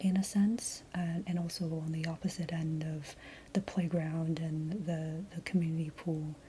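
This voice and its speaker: Soft-spoken and somewhat breathy, a woman talks at a fairly slow pace with a fairly low pitch. Her tone is dark and mellow, and her intonation is fairly even. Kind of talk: soft-spoken ASMR rambling to camera. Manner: soft-spoken, hesitant, rambling.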